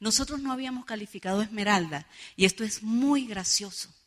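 Her voice is somewhat breathy and animated. This woman speaks at a moderate pace with lively intonation. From Venezuela, San Cristóbal (Táchira). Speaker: network marketing leader, motivational speaker. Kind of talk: motivational seminar speech. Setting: stage with audience.

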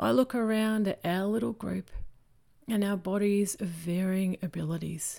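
A woman speaks at a medium pitch and a fairly slow pace, with an Australian accent and ordinary pitch variation. The recording is very clean, with a silent background. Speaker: preacher. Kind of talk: sermon.

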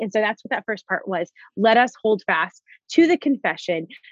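In a plain, everyday voice with an American accent, the speaker goes at a moderate pace against a quiet background, the sound dry and close with no echo. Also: woman. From South Florida. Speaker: Bible teacher and author. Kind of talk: podcast interview.

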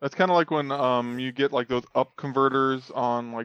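A man speaks against a quiet background. The sound is dry and close, with no echo. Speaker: gaming podcast co-host. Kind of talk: casual chat. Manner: monotone.

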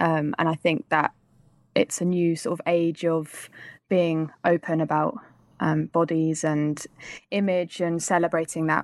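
Speaking at a moderate pace with a London accent, a woman uses a fairly low voice with ordinary pitch variation and very even loudness, recorded dry and close with no echo against a silent background in a very clean recording. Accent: southern English (London). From England. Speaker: actor and filmmaker. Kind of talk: interview.

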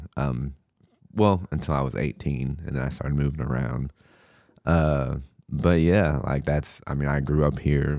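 Very deep and low, a man's voice carries a dark, mellow tone. He speaks fairly slowly with fairly even intonation. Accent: American. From Southern Illinois, US. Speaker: hip hop artist. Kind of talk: casual chat.

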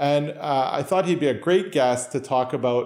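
With a Canadian accent, an unremarkable speaking voice talks at a moderate pace with ordinary pitch variation. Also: man. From Canada, Toronto area (Newmarket). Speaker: podcast host, doctor. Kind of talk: interview conversation.

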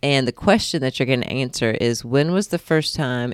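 A woman's very deep, low voice at a moderate pace with ordinary pitch variation. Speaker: podcast host. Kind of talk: casual conversation about Bible study.

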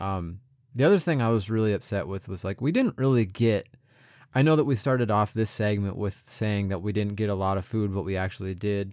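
Here is an unremarkable speaking voice from a man, fairly low in pitch with ordinary pitch variation, at a fairly quick pace. The recording is very clean, the background silent. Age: 30s. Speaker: podcast co-host. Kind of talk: casual chat.

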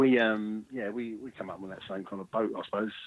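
A man speaks in a fairly low voice with a South London accent. His intonation stays fairly even. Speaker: musician in a mod band. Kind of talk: casual interview.

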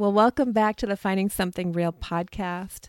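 On a very clean recording with a silent background, a woman uses a normal speaking voice at a moderate pace with ordinary pitch variation. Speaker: podcast host and counselor. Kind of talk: casual chat.

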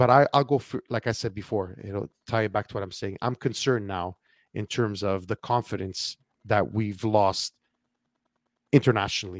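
A man's normal speaking voice, fairly low in pitch, with a Canadian accent, at a moderate pace, the sound dry and close with no echo, on a very clean recording with a silent background. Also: fairly even intonation. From Canada. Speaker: podcast host. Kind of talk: casual political talk-show conversation.

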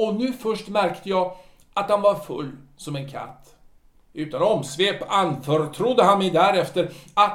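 Unforced voice reading a text

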